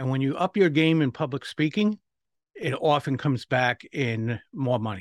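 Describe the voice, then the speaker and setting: Heard on a very clean recording with a silent background, a man with a medium pitch talks at a moderate pace in a normal speaking voice with ordinary pitch variation. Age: 60s. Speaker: public speaking coach and author. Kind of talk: interview.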